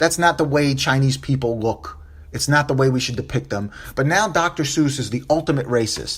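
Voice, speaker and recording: A man speaks in an animated tone. His voice is somewhat breathy. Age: 40s. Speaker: podcast host. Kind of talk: solo podcast commentary.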